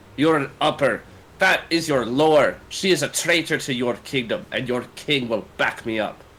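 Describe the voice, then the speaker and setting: Using a put-on character voice, a man sounds guttural at a fairly high pitch, moving at a moderate pace with ordinary pitch variation. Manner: angry, aggressive.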